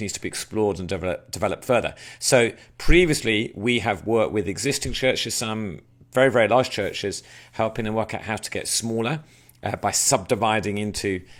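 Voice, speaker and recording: A fairly low-pitched man at a fairly quick pace with ordinary pitch variation, on a very clean recording with a silent background. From England. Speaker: church planter and trainer. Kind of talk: recorded training talk. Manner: hesitant, many filler words.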